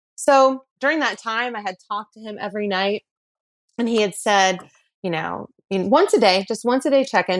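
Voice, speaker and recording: In an ordinary speaking voice, a woman with a medium pitch talks at a fairly quick pace. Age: 40s. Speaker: podcast guest telling her dating story. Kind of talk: personal storytelling.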